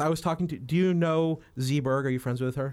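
Speaking with an American accent, a man has a normal speaking voice at a fairly high pitch. His intonation is fairly even, and the recording is very clean with a silent background. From New Mexico, US. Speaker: photographer. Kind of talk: casual chat.

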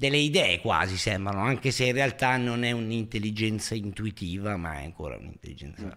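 A man with an ordinary speaking voice talks at a fairly quick pace. His pitch is fairly low. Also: lively intonation. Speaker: podcast host. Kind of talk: heated argument. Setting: online livestream. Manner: loud, overlapping, teasing.

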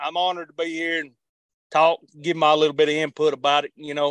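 With an Appalachian accent, a man speaks in a flat monotone at a moderate pace and a fairly high pitch. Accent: Appalachian Southern US. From western North Carolina mountains. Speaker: army veteran. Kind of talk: interview. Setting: remote call.

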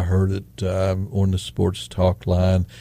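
A man speaks with an American accent at a fairly slow pace. His voice is fairly low in pitch. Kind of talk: casual chat. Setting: studio. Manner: rambling, halting; folksy, storytelling.

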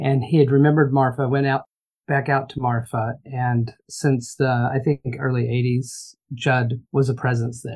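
In a Texan accent, a woman with a very deep, low pitch speaks fairly slowly in a monotone, flat intonation. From Texas. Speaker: hotelier. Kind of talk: casual chat.

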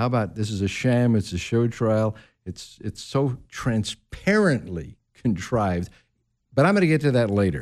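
Over a silent background in a very clean recording, a man with a normal speaking voice talks at a moderate pace, medium in pitch, with lively intonation. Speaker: guest radio host. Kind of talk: talk radio discussion. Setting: radio studio.

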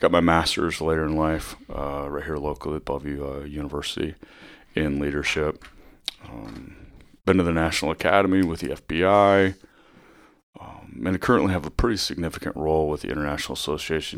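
A man speaks in a very deep, low pitch with an American accent. His pitch variation is ordinary. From US Midwest, northwest Iowa. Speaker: police chief. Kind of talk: interview. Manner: hesitant, many fillers.

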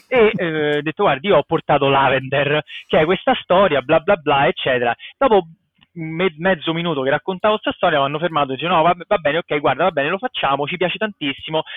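Very fast, animated delivery with ordinary pitch variation. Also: man, fairly high pitch for a man. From Italy, Rome. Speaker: comic book artist. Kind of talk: casual interview.

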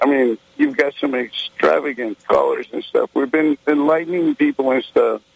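There is noticeable background noise behind this man with an American accent. He speaks at a moderate pace with a fairly high pitch. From Texas. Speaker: caller. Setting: phone call.

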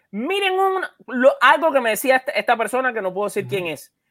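With a dry, close sound and no echo, a man projects a raised voice at an extremely high pitch, bright and sharp in tone, with very wide pitch swings at a moderate pace. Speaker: podcast host. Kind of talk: sports podcast panel discussion. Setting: at home in a room, isolating.

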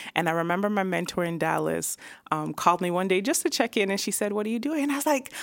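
A woman at a very fast pace, medium in pitch, with vocal fry and very wide pitch swings. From Toronto area, Canada. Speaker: video producer and creative director. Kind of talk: casual interview. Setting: studio.

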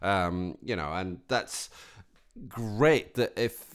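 A man speaks with a Scottish accent at a fairly low pitch and ordinary pitch variation. The recording is very clean, with a silent background. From Scotland. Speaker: podcast co-host. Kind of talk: casual chat.

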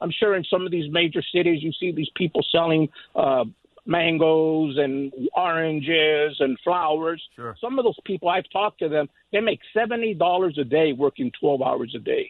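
A man speaks in a plain, everyday voice at a moderate pace. His pitch is fairly high, with ordinary variation. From California, US. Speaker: caller, retired worker. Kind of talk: call-in opinion. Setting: phone call.

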